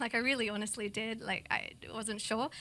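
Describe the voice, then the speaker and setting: With an Australian accent, a woman talks at a moderate pace in a bright, sharp tone. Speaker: multimedia artist and music producer. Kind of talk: interview.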